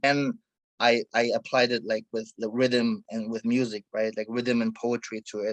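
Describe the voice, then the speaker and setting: Recorded with a dry, close sound and no echo, a man with a German accent speaks at a moderate pace and medium pitch in a monotone, flat delivery. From Germany and Egypt. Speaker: hip hop artist. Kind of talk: interview conversation. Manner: halting, many fillers.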